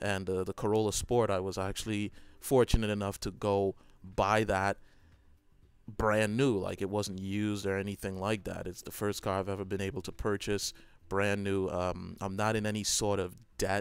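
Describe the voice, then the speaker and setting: On a very clean recording with a silent background, a man speaks at a fairly low pitch. His delivery is monotone and flat, at a moderate pace. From Trinidad. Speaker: gaming YouTuber. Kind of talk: personal reflective monologue. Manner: hesitant, many fillers.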